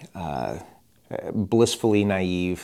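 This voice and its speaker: With an American accent, a man speaks at a very deep, low pitch in a dark, mellow tone and fairly even intonation. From Chicagoland, Illinois. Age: 30s. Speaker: children's ministry director. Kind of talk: casual interview.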